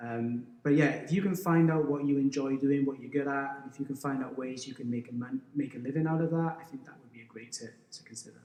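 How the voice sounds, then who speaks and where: Speaking in a Welsh accent, a man keeps a medium pitch and fairly even intonation at a fairly quick pace. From Wales, South Wales valleys. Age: 40s. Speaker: teacher and endurance runner. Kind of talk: podcast interview. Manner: halting, with repeated restarts.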